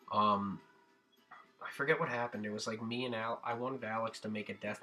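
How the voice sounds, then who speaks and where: Music plays in the background as a man speaks at a medium pitch. His fairly quick delivery is monotone and flat. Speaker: gaming YouTuber. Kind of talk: casual vlog monologue. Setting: home recording, music in background. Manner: hesitant, many fillers.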